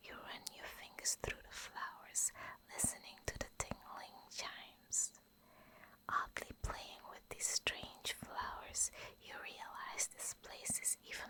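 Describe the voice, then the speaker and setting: Whispering at a very slow pace, a woman uses a soothing tone with big swings in loudness. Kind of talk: whispered bedtime story reading for sleep. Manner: whispered, soft, soothing.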